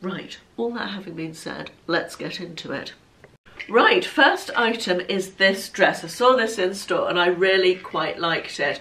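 A woman's voice with big swings in loudness against noticeable background noise. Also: fairly slow pace. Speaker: fashion vlogger. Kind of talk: casual chat, clothing haul and try-on. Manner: chatty, conversational.

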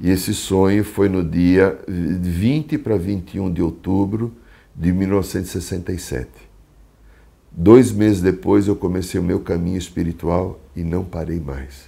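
A man with a very deep, low pitch, a dark, mellow tone, and vocal fry talks at a fairly slow pace with ordinary pitch variation. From Brazil, São Paulo city. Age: 60s. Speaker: psychologist and shamanic therapist. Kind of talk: talk about his spiritual life path. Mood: calm, reflective. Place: home room. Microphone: lapel.

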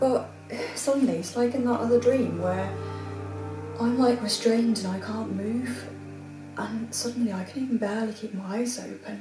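A woman talks at a moderate pace, leaving long, frequent pauses. Clear music plays in the background. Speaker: actor in a drama scene. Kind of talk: acted phone call, telling a dream. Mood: troubled, distressed. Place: home room.

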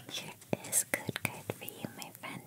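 Soft-spoken whispering at a fairly slow pace. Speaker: card opening host. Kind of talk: casual unboxing commentary. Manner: soft close ASMR whisper.

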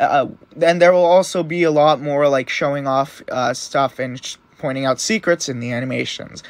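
Ordinary pitch variation runs through talking held at a moderate pace. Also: man. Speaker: animation YouTuber. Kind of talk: casual video monologue. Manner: animated, casual.

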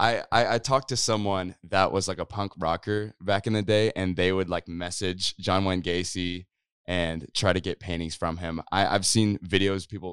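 An American-accented man's very deep, low voice at a moderate pace, fairly even in intonation, dry with no echo over a quiet background. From Kansas, rural. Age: 20s. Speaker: YouTuber and musician; YouTuber. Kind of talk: casual chat. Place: studio. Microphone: handheld.

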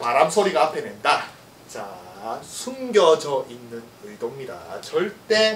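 Audible room echo and light background noise surround a man whose voice makes very wide pitch swings. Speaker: golf swing researcher and YouTuber; golf instructor. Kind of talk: casual monologue about golf lessons; tutorial. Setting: solo video recording. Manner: talkative, informal, animated with laughs. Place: gym.

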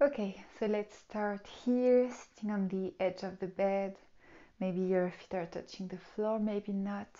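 A woman's fairly slow, fairly even-toned delivery. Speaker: yoga teacher. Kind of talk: tutorial. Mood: calm, soothing guidance. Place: home room. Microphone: lapel.

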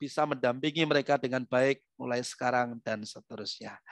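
A man talks with ordinary pitch variation, the sound dry with no echo and the background quiet. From East Java, Indonesia. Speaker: motivator and trainer; trainer. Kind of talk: webinar talk. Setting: video call. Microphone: headset.

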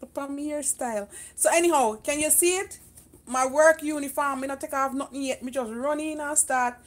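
Speaking at a moderate pace, a woman has a high voice. Her intonation is fairly even. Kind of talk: casual live stream chat. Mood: cheerful, laughing. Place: kitchen. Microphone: phone near.

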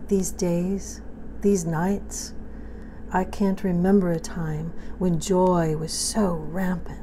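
A woman at a very slow pace, with light background noise. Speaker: poet. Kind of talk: poetry reading. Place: kitchen. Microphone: phone near.

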